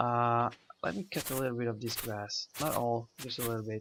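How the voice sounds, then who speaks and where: A man with a non-native accent talks at a moderate pace in a medium-pitched voice with fairly even intonation. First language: not English. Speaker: gaming video creator. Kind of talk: let's play commentary. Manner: halting, many fillers.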